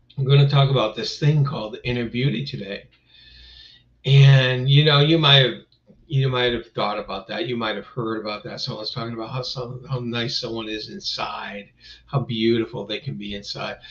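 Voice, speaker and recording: Speaking at a moderate pace, a man with a medium pitch and a somewhat breathy voice shows ordinary pitch variation and big swings in loudness. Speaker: live-stream host. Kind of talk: casual live-stream talk. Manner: rambling, filler-heavy.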